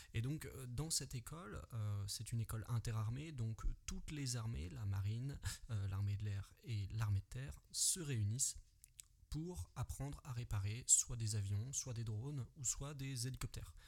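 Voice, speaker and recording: A man with medium pitch, a fairly slow pace, lively intonation, and a somewhat breathy, dark, mellow tone. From Paris region, France (Yvelines). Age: 20s. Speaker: podcaster, former soldier. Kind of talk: solo podcast monologue. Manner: casual, hesitant with fillers.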